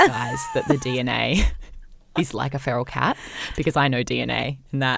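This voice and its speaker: In a raspy, put-on character voice, the speaker talks at a moderate pace with a low-to-middle pitch. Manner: mock-authoritative, matter-of-fact.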